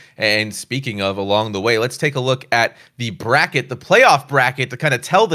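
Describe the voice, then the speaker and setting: A man's bright, sharp voice at a fairly quick pace, with ordinary pitch variation, in a very clean recording with a silent background. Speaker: esports broadcast host. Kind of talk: pregame show hosting. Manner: theatrical, grandiose.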